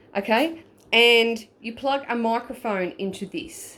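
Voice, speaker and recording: With an Australian accent and lively intonation, a woman speaks on a very clean recording with a silent background. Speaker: paranormal investigator. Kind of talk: tutorial. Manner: stuttering; casual.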